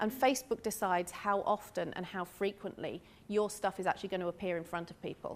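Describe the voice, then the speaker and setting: Speaking very fast in a British accent, a woman keeps her pitch fairly high. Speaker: marketing speaker at a business workshop. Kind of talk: talk to a live audience. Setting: room with live audience.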